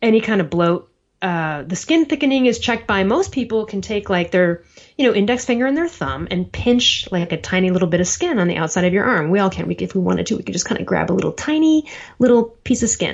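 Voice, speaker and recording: Very fast, animated speech from a woman at medium pitch with very wide pitch swings. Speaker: health coach and writer. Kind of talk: interview. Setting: podcast recording.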